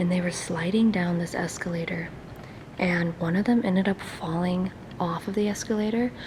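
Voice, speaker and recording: A woman with a fairly low voice speaks in fairly even intonation over noticeable background noise. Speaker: urban explorer YouTuber. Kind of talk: casual vlog. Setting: inside abandoned mall.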